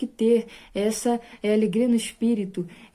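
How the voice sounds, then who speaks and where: The recording is very clean with a silent background. A woman speaks in a dark, mellow tone at a fairly high pitch. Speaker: evangelical preacher. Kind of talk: bible study sermon.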